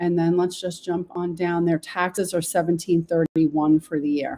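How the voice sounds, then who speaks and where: Her voice has a dark, mellow tone and a fairly low pitch, and the woman speaks with a New York accent. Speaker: local real estate podcast host. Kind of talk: real estate market walkthrough. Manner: casual, chatty.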